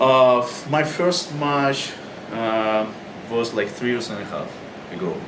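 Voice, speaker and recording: On a recording with noticeable background noise and audible room echo, a man with a Russian accent speaks at a medium pitch and a very slow pace, with ordinary pitch variation and long, frequent pauses. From Russia, Moscow. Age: young. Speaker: pro wrestler. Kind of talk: interview.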